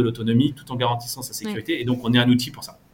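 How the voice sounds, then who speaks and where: Here is a man talking. His voice is somewhat breathy. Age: 30s. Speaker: fintech startup founder and CEO. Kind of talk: interview. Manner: halting.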